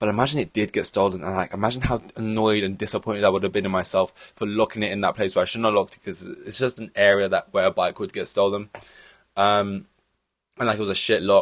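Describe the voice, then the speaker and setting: Speaking at a very fast pace, a man with a fairly low pitch keeps his intonation fairly even while his loudness swings widely. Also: very clean recording, silent background. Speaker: F1 podcast host. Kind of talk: race reaction monologue. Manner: monotone.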